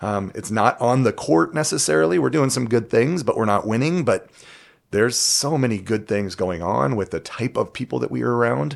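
Using a fairly quick pace, a man with an American accent speaks at a medium pitch with vocal fry and very wide pitch swings. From Southern California. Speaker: podcast co-host and college volleyball coach. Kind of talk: casual chat.

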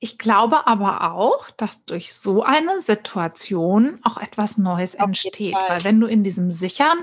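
Against a quiet background, a woman speaks somewhat breathily at a fairly high pitch with lively intonation. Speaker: podcast host. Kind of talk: casual chat.

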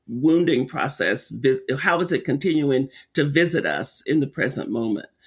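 In a very clean recording with a silent background, a man speaks at a moderate pace with a fairly high pitch and vocal fry. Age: 70s. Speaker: racial healing center director and author. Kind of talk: interview conversation.

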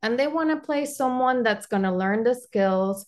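A woman with a Spanish accent against a quiet background. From Panama. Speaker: architect guest. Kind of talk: casual interview.

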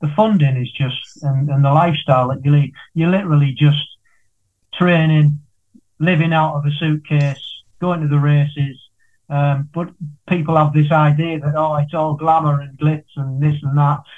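A man speaks at a moderate pace in a fairly high, somewhat breathy voice. His intonation is monotone and flat. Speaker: podcast host. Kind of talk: casual interview.

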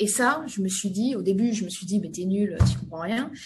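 Somewhat breathy and medium in pitch, a woman speaks at a moderate pace with ordinary pitch variation amid audible room echo. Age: 30s. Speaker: industrial company CEO. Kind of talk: interview.

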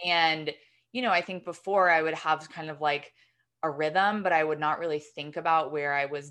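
A woman's ordinary speaking voice, fairly low in pitch, with an American accent, at a moderate pace over a quiet background. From New York. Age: 30s. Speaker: screenwriter and newsletter co-founder. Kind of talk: interview conversation.

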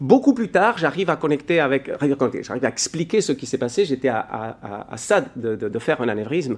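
Speaking at a moderate pace, a man uses a fairly high pitch with very wide pitch swings. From Spain. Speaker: leadership coach and podcaster. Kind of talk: recorded talk; podcast intro.

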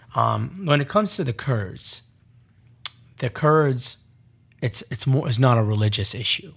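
Somewhat breathy, a man speaks at a medium pitch and a fairly slow pace, with lively intonation and long, frequent pauses. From Iraq. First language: Arabic. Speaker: former spy and interpreter. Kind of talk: interview, storytelling.

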